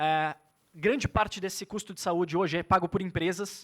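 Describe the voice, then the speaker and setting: Here a man speaks with a high pitch. His pitch variation is ordinary. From Brazil, São Paulo state. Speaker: tech entrepreneur, former karate athlete. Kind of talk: conference talk. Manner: halting, with repetitions.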